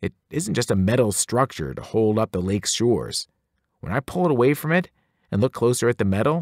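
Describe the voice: Against a quiet background, someone is doing plain reading aloud with lively intonation.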